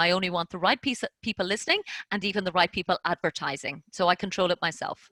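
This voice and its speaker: A woman talks at a very fast pace in a bright, sharp tone, her voice dry and close with no echo on a very clean recording over a silent background. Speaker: podcast host. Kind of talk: interview Q&A.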